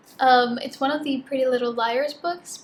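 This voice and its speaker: A woman speaks at a moderate pace in a high voice. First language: Spanish. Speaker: book youtuber. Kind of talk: casual vlog chat. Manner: casual with many fillers.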